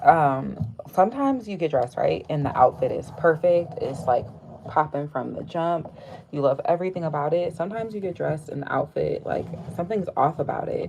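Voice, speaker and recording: A woman talking at a fairly quick pace, with noticeable background noise. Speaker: artist and craft livestreamer. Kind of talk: casual craft livestream chat. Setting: live stream. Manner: fast, excited talk; stumbles over words, many fillers.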